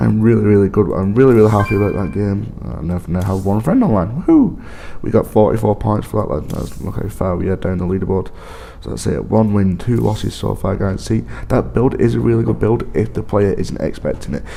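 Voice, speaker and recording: A man's fairly low voice, lively in intonation and fairly quick in pace, over noticeable background noise. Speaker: gaming video creator. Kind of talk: gameplay commentary.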